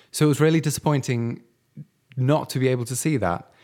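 With a British accent, a man talks at a fairly quick pace in a dark, mellow tone, recorded very cleanly against a silent background. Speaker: podcast co-host. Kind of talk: casual podcast chat.

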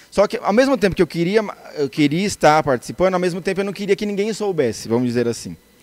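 This man's high voice swings very widely in pitch as he talks very fast. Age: 30s. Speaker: church musician. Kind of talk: interview.

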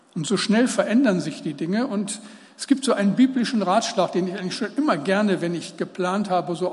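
A voice with ordinary pitch variation comes through amid audible room echo and noticeable background noise. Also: man. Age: 70s. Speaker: preacher. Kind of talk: sermon.

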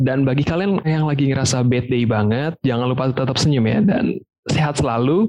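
Delivered at a moderate pace with lively intonation, this is an ordinary speaking voice. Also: man. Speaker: podcast host. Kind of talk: casual Jakarta slang mixed with English.

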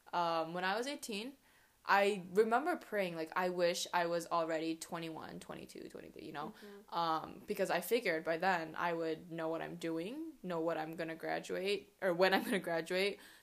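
A woman's fairly low voice at a moderate pace, an unremarkable speaking voice. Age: 20s. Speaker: podcast co-host. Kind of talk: casual chat.

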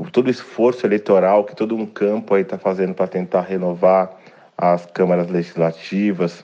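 Very deep and low, a man's voice holds a monotone, flat intonation. His pace is moderate. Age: 40s. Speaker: activist. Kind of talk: interview.

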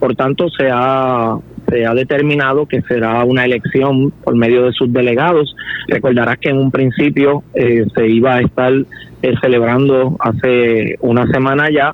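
Over noticeable background noise, a man at medium pitch talks fairly slowly in a monotone, flat intonation with very even loudness. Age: 50s. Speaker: political candidate. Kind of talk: interview.

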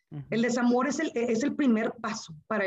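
A somewhat breathy woman at a fairly slow pace. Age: 40s. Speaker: engineer and teacher. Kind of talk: interview testimony.

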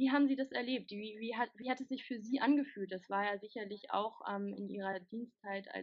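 A woman talks here. The variation in her pitch is ordinary. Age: 20s. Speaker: interviewer, working student. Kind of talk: interview. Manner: hesitant, many filler sounds.

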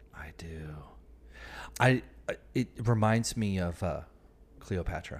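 Very slowly and with long, frequent pauses, a man speaks in big swings of loudness. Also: fairly low pitch for a man, ordinary pitch variation. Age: 40s. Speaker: podcast host and dating author. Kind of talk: casual chat.

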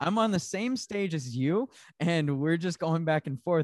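A man with a normal speaking voice and an American accent, fairly high in pitch, lively intonation, moderate pace, quiet background. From Arizona. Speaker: door-to-door sales trainer. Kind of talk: casual chat.

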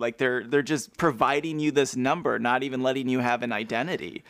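A man's fairly quick speech with vocal fry, on a very clean recording against a silent background. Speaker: podcast co-host. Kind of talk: casual chat. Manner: quiet.

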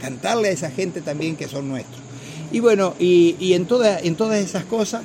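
With lively intonation and a high pitch, a man speaks at a moderate pace over noticeable background noise. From Argentina, Santa Fe province countryside near Maciel. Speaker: folk songwriter. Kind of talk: radio interview. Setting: outdoor festival.

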